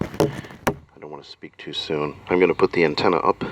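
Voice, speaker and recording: Noticeable background noise sits under a man's voice, recorded dry and close with no echo. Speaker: magician reviewing a PA system. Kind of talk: product review demo. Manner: halting, many fillers.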